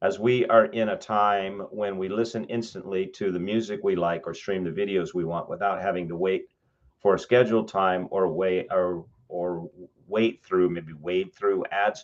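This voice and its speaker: Here a man talks with a Western US accent. His pitch is fairly low. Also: moderate pace. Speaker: professor. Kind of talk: lecture, reviewing student writing aloud. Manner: halting, frequent self-corrections.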